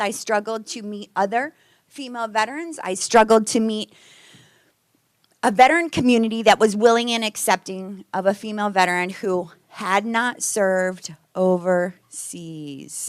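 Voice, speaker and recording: Ordinary pitch variation with big swings in loudness. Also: woman. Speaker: Navy veteran, guest speaker. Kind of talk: presentation to a club. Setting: meeting room with audience. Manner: fast; animated.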